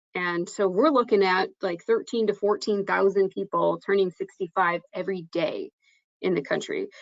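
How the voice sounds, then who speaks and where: This woman has a plain, everyday voice at a medium pitch. She talks at a moderate pace. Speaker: insurance trainer presenting to agents. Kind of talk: webinar presentation.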